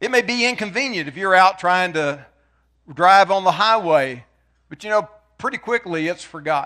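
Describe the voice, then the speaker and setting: A raised, projected voice with lively intonation, a bright, sharp tone, big swings in loudness and a moderate pace. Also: man, high pitch for a man. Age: 60s. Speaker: preacher. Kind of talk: sermon.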